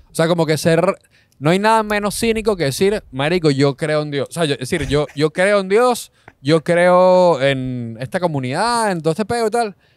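A man in a Caracas Venezuelan accent, high-pitched with lively intonation, the sound dry and close with no echo. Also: moderate pace. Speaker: comedian. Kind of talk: casual chat.

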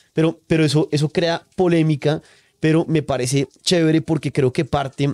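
This man's voice sits at a fairly high pitch and has a dark, mellow tone. The background is quiet. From Colombia. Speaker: podcast host. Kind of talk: casual chat. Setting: on location at guest's farm. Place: home room. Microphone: studio mic.

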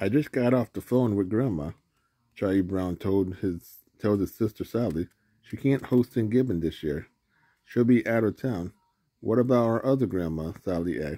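With an ordinary speaking voice, a man talks at a moderate pace and a fairly low pitch, using lively intonation, in a dry sound with no echo and a quiet background. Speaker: reader filming a picture book. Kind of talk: reading a story aloud. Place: home room. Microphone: phone near.

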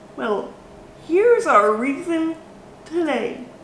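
Speaking at a very slow pace with an extremely high pitch, a woman is heard with light background noise and audible room echo. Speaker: baking vlogger. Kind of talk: casual vlog chat. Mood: cheerful, upbeat. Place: kitchen. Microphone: camera far.

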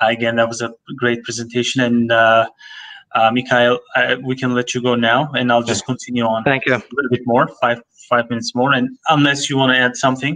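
A man's bright, sharp voice at a fairly quick pace, in a monotone, flat intonation. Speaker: language college program manager hosting webinar; webinar host. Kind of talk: educational webinar. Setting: online webinar. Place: office. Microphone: video call.

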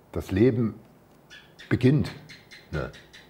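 A man speaks with a dark, mellow tone. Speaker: spiritual teacher. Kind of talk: spiritual talk. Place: home room. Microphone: lapel.

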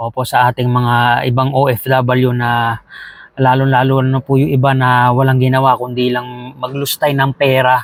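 A man speaks at a medium pitch and moderate pace in a monotone, flat intonation. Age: 30s. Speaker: vlogger, overseas Filipino worker. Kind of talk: casual vlog monologue. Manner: halting.

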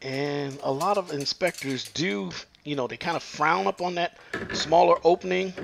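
Fairly slow speech from a man amid noticeable background noise. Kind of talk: tutorial. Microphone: phone near.

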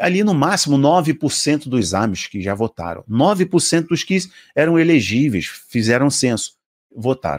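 Speaking fairly slowly with a Brazilian accent, a man uses a fairly high pitch, very wide pitch swings and an animated tone. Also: quiet background. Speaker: preacher and video commentator. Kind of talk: religious commentary video, partly fervent prayer near 3:05. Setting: online video to camera, promoting app. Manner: fervent, passionate, emphatic; animated, rhetorical, addresses viewers directly. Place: home room. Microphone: studio mic.

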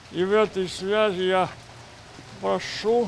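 A man at a very slow pace over light background noise. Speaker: war veteran. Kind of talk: speech at ceremony. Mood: solemn, dignified. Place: street.

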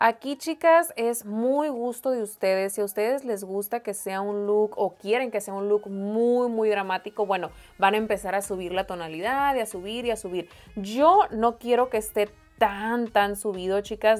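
Moderately paced speech from a woman, with ordinary pitch variation. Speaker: makeup vlogger. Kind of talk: tutorial. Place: home room.

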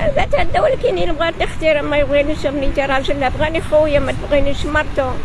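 A woman talks at a very fast pace in a high pitch, with crowd noise in the background. The sound itself is dry with no echo. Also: ordinary pitch variation, very even loudness. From Morocco. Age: 70s. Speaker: homeless elderly woman; interviewee. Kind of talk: street interview. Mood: sad, pleading. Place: street. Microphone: handheld.

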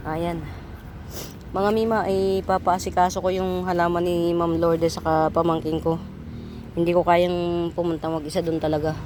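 A woman talks in a monotone, flat intonation at a fairly low pitch. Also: moderate pace. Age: old. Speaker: online plant seller. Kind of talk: live selling. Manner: chatty.

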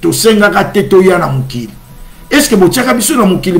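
A man talks at a high pitch with very wide pitch swings. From DR Congo. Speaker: church channel host. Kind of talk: religious livestream talk. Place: home room. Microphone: webcam.

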